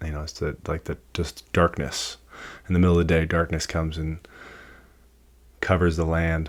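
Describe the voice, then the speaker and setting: A quiet man with a very deep, low pitch and monotone, flat intonation, on a very clean recording with a silent background. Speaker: podcast host and tattoo apprentice. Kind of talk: casual solo podcast monologue. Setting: tattoo shop. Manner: hesitant, many fillers; quiet, keeping voice low.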